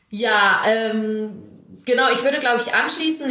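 A woman's fairly high-pitched voice at a moderate pace with fairly even intonation, amid noticeable background noise and audible room echo. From western Germany, Düsseldorf and Krefeld. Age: 20s. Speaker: national field hockey player. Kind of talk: casual interview.

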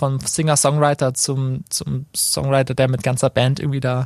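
The recording is very clean, with a silent background. It carries a plain, everyday voice. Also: man. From Baden, Karlsruhe area. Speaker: singer-songwriter. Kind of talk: casual interview. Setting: studio.

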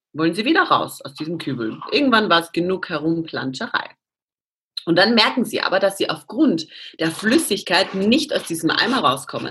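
Pausing long and often, a woman speaks at a moderate pace in a medium-pitched, bright, sharp voice with very wide pitch swings. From Austria. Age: 30s. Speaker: CrossFit athlete. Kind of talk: interview.

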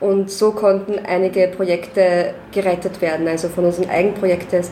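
At a moderate pace, someone talks in an Austrian accent over noticeable background noise. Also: woman. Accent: Austrian German, audible. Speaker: concert manager. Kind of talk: casual interview.

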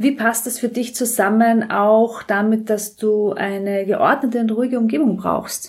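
Somewhat breathy and fairly high-pitched, a woman talks at a fairly slow pace with hardly any pauses and fairly even intonation. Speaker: politician and podcast host. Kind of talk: interview. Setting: in the guest's flat.

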